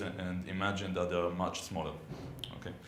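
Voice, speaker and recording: With an Israeli accent, a man speaks amid noticeable background noise and audible room echo. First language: Hebrew. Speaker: software consultant and conference speaker. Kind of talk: technical conference talk. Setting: conference room with audience. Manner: hesitant, many fillers.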